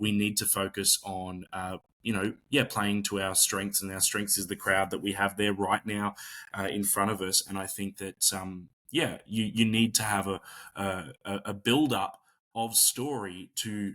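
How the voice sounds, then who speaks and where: Speaking with an Australian accent, a man keeps a fairly slow pace. His tone is bright and sharp, his intonation fairly even. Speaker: pro wrestler and magician. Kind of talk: interview. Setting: video call. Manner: soft-spoken.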